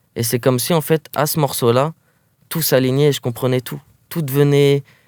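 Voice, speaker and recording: Recorded very cleanly against a silent background, in a dry, close sound with no echo, a man with a fairly high pitch speaks at a moderate pace with monotone, flat intonation and big swings in loudness. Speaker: rapper. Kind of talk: interview. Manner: casual, halting with fillers.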